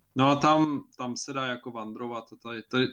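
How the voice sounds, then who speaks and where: Fairly slow and with fairly even intonation, a man speaks at a medium pitch in a bright, sharp tone against a quiet background. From Czech Republic. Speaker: podcast co-host. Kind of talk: casual chat. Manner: halting.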